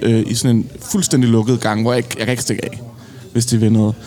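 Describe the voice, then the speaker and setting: A man speaks at a medium pitch in a flat monotone. Noticeable background noise runs under his voice. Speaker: podcast host. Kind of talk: casual chat. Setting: pub.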